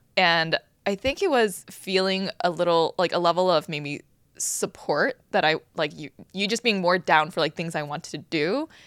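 In a plain, everyday voice, a woman speaks at a moderate pace with a fairly low pitch and ordinary pitch variation, in a very clean recording with a silent background. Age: 30s. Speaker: podcast co-host. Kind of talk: casual chat.

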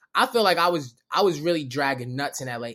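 The recording is very clean, with a silent background. The speaker talks at a fairly quick pace with ordinary pitch variation. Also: man. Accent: Baltimore. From Baltimore. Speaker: comedian. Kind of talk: casual chat.

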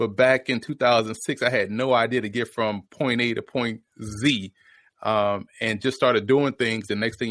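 A man talks at a moderate pace with an American accent, his pitch medium and his intonation fairly even. The recording is very clean, with a silent background. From New Orleans, Louisiana. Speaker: football analyst and former player. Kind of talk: podcast interview.

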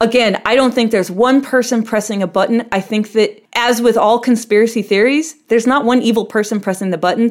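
It is a plain, everyday voice with fairly even intonation. The loudness stays very even and there are hardly any pauses. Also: woman, fairly high pitch for a woman. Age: 40s. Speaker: ballroom performer and dancer. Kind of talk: interview.

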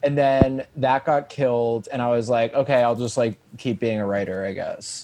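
Moving at a moderate pace with hardly any pauses, a man with an American accent and an unremarkable speaking voice talks at a medium pitch with fairly even intonation. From US Northeast, Long Island. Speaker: comedian. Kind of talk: casual chat.

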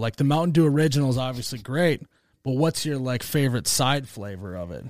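The speaker talks with lively intonation in an Upper Midwest accent. The recording is very clean, with a silent background. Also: man. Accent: Upper Midwest American. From US Midwest. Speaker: comedy video creator, media company owner. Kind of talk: casual chat.

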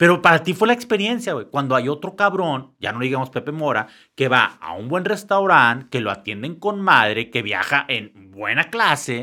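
A man's bright, sharp tone with vocal fry, very wide pitch swings and a moderate pace, on a very clean recording with a silent background. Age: 50s. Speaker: entrepreneur and lighting designer. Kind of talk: casual interview chat.

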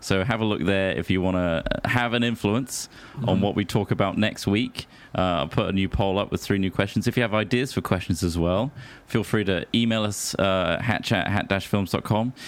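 A man with an ordinary speaking voice talks at a moderate pace and fairly low pitch, with ordinary pitch variation and very even loudness. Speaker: podcast host. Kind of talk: casual comedy chat. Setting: home recording.

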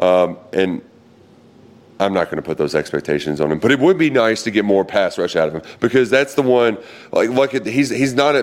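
A man with a medium pitch, vocal fry and an animated tone, talking at a fairly quick pace with very wide pitch swings. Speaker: sports podcast host. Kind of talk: casual chat. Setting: outdoors.

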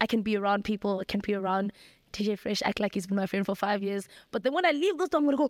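A woman's animated, very fast speech at medium pitch with ordinary pitch variation and very even loudness, very clean and dry, close with no echo and a silent background. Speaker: YouTuber. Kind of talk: casual chat.

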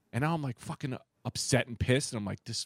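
The recording is very clean, with a silent background and a dry, close sound with no echo. A man speaks with ordinary pitch variation. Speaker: comedian. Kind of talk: casual chat. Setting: studio.

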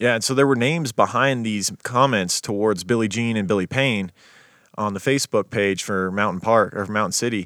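A man with an ordinary speaking voice talks at a fairly quick pace, fairly low in pitch with ordinary pitch variation. The recording is very clean with a silent background, and the sound is dry and close, with no echo. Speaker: podcast host. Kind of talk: casual chat, storytelling. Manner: casual, profane.

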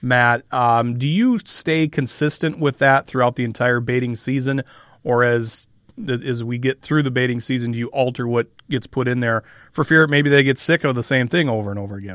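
The background is quiet and the sound dry and close, with no echo. A man with an unremarkable speaking voice talks at medium pitch with fairly even intonation. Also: moderate pace. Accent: American. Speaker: radio host. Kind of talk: radio interview show. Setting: studio.

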